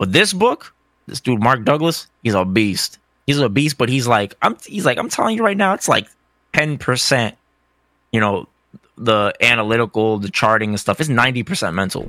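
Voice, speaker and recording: Using a plain, everyday voice, a man with an American accent speaks at a moderate pace and medium pitch with lively intonation. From US, Cape Verdean family. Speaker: fighting game player and content creator. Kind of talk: casual interview chat.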